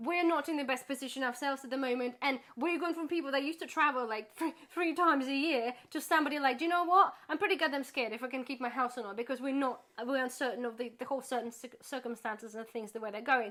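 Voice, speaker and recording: A woman with a high pitch and a bright, sharp tone speaks at a very fast pace with hardly any pauses and ordinary pitch variation. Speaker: YouTuber, charity volunteer. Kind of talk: casual chat.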